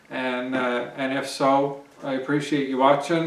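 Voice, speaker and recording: Audible room echo and noticeable background noise accompany a man speaking at a fairly high pitch. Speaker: homesteading vlogger. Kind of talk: casual vlog talk to camera. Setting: outdoors. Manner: hesitant, many fillers.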